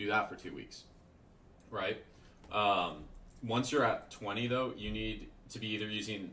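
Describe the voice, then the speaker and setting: Against audible room echo, a man talks at a fairly quick pace with ordinary pitch variation. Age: 20s. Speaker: day trader and trading mentor. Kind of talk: livestream Q&A. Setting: live stream. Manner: casual, conversational.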